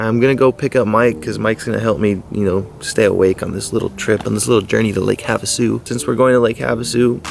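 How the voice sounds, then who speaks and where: Mumbling at a very fast pace, a man speaks with a medium pitch. Noticeable background noise runs underneath. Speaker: fishing vlogger. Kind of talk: casual vlog.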